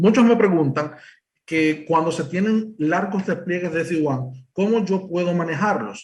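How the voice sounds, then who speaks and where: With a Dominican accent, a man speaks at a high pitch with ordinary pitch variation. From Dominican Republic. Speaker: cybersecurity presales engineer. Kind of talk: technical presentation. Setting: remote presentation to live event. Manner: hesitant, many fillers.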